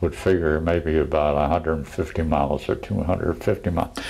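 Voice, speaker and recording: With an American accent, a man speaks at a moderate pace. His pitch is very deep and low. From Pennsylvania. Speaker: war veteran. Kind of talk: interview answer.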